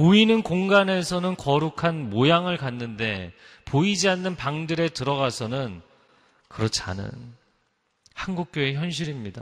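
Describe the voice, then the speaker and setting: The pace is fairly slow. Pitch swings very widely throughout. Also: man, fairly high pitch for a man. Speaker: pastor. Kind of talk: sermon.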